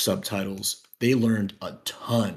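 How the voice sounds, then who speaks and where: A man speaks in a plain, everyday voice at a medium pitch. His pace is fairly slow. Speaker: language learner. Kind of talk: casual chat.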